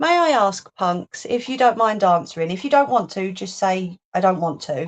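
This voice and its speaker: A medium-pitched woman's voice with a London accent, very wide pitch swings and a moderate pace, set against a quiet background. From London, England. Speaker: crafting livestreamer. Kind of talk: casual livestream chat while crafting. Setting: live stream. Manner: chatty, playful.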